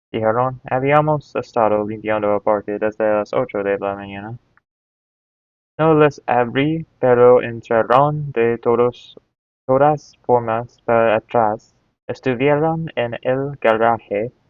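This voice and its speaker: In an English accent, a man at medium pitch speaks at a fairly slow pace. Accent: English-speaking accent in Spanish. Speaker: Spanish learner. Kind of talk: reading aloud. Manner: halting.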